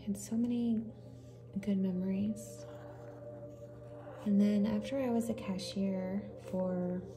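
Soft-spoken, a woman talks at a fairly slow pace with long, frequent pauses while music plays in the background. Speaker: ASMR artist. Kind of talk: ASMR storytime.

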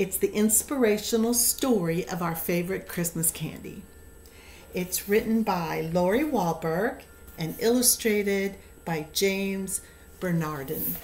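Light background noise behind a woman at a medium pitch, fairly slow in pace, with ordinary pitch variation. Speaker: storyteller. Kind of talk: fairy-tale narration; casual chat. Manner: gentle, warm, storybook-style reading with slow, measured pacing. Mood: gentle, warm storytelling. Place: home room. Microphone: webcam.

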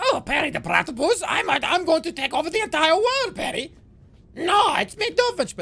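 An extremely high-pitched, put-on character voice comes through. It moves at a moderate pace. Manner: scheming, theatrical.

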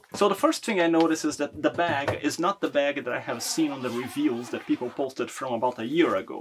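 Noticeable background noise sits behind a man with a fairly high pitch and ordinary pitch variation. He talks at a fairly quick pace with hardly any pauses. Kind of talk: casual product review to camera. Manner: soft-spoken.

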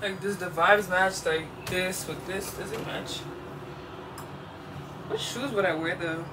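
Over noticeable background noise, a woman with an American accent speaks at a fairly slow pace, leaving long, frequent pauses. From Washington DC. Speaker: content creator. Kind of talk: casual vlog talk to camera. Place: home room. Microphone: camera far.

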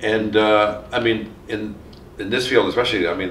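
Over light background noise and audible room echo, a man talks very fast at a fairly low pitch. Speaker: criminologist interviewer. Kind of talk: oral history interview. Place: home room.

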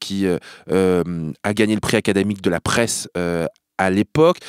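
A man's fairly low voice, dry and close with no echo, on a very clean recording with a silent background. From France, Normandy. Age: 30s. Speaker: journalist and TV presenter. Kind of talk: casual chat. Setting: studio. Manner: animated.

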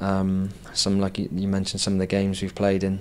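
Here a man talks at a fairly quick pace. His voice is fairly low-pitched. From Wales. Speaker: professional footballer; guest. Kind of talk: interview. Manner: halting, many fillers. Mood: relaxed, modest. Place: studio. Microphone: handheld.

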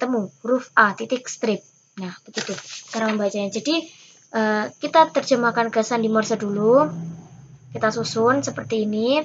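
A woman speaks at a moderate pace in a fairly high, somewhat breathy voice with ordinary pitch variation. Light background noise sits under her words. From Indonesia. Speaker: scout instructor. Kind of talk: tutorial. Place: home room. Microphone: webcam.

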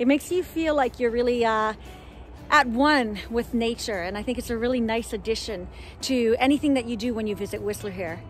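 With faint music in the background and a dry sound with no echo, a woman speaks at a moderate pace with a high pitch and ordinary pitch variation. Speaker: travel vlogger. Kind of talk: casual vlog chat. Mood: cheerful, enthusiastic. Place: forest. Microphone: phone near.

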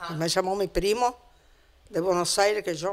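A woman speaks at a medium pitch and a moderate pace. Her intonation is flat and monotone. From Italy, Piedmont, Cuneo; Piedmont, Italy. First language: Italian (speaking Spanish). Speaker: immigrant; interviewee. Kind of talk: interview. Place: home room. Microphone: handheld.

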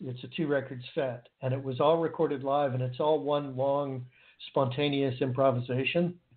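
A man with an American accent speaks at a fairly slow pace and a fairly high pitch. He has an ordinary speaking voice with fairly even intonation. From United States. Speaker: guitarist. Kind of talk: casual interview chat.

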